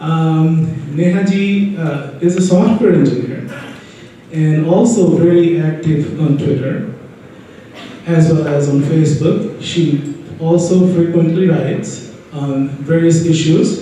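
A high-pitched man with an Indian accent speaks very slowly with ordinary pitch variation, in strong room echo and light background noise. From Bihar, India. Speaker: panel moderator. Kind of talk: panel moderation. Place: hall.

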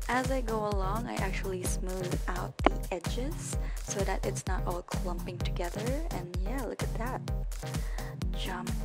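A woman at a fairly slow pace over loud music in the background. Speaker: college student. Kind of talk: casual makeup tutorial narration. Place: home room. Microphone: webcam.

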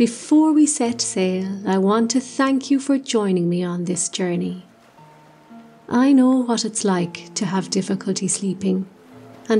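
A woman's medium-pitched voice at a fairly slow pace, with music in the background. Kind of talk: sleep story. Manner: soft-spoken, slow.

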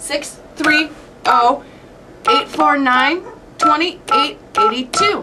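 Speaking at a very slow pace, a woman has a high pitch, a bright, sharp tone and ordinary pitch variation.

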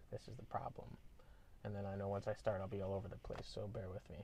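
A somewhat breathy man speaks with fairly low pitch and monotone, flat intonation, the sound dry with no echo over light background noise. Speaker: vlogger. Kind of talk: casual vlog chat. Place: car. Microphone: earbuds.

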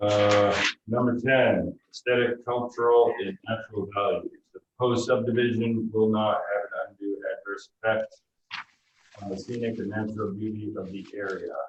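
Soft-spoken and monotone, a man of medium pitch talks at a moderate pace with flat intonation. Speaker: planning board member. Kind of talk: public meeting. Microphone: too quiet.

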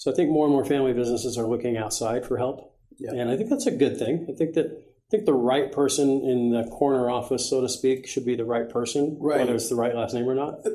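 A man speaks at a very fast pace with hardly any pauses. His intonation is fairly even. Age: 60s. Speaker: guest business leader. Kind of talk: interview. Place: studio.

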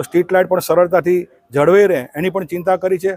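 Here a man speaks with a high pitch. The sound is dry and close with no echo. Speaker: state legislator. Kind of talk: public speech.

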